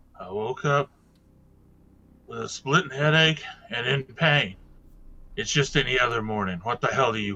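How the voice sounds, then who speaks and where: Putting on a character voice, a man speaks raspily at a medium pitch and a moderate pace, with lively intonation, big swings in loudness and long, frequent pauses. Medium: actual play.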